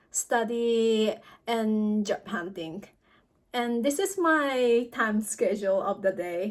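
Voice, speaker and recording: A woman speaks at a very slow pace with a fairly high pitch. Her pitch varies in an ordinary way. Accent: Japanese. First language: Japanese. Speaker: student vlogger. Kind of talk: vlog talk. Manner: halting.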